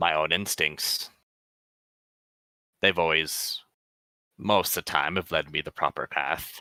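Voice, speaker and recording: A raspy, put-on character voice moves at a fairly slow pace. Intonation stays fairly even, with long, frequent pauses. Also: man, very deep, low pitch for a man. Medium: actual play. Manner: defensive.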